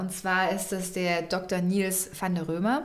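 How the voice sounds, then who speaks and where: There is audible room echo around this woman's voice. She speaks at a fairly slow pace and a medium pitch. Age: 20s. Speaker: podcast co-host. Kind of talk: casual chat. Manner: halting.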